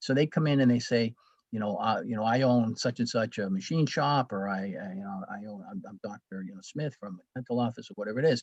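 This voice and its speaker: In a dry, close recording with no echo, a man of medium pitch talks at a very fast pace, with ordinary pitch variation and big swings in loudness. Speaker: school executive presenting at webinar. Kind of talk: webinar presentation. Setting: webinar. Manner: halting, many fillers and restarts.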